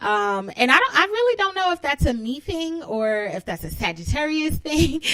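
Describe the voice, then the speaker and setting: A woman with an American accent at a moderate pace, her pitch swinging very widely, over noticeable background noise. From New York City (Brooklyn). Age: 30s. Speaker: podcast host. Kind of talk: casual monologue. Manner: bubbly, giggly.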